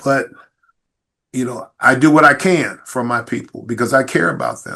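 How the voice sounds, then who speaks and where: A man's normal speaking voice with an American accent, medium pitch, moderate pace, ordinary pitch variation and big swings in loudness. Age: 60s. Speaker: police chief. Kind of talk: podcast interview.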